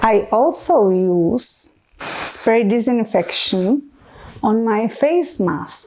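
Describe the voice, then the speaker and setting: A woman with a Czech accent, fairly high pitch and ordinary pitch variation. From Czech Republic. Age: 40s. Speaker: medical educator. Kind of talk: educational talk to camera. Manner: enthusiastic.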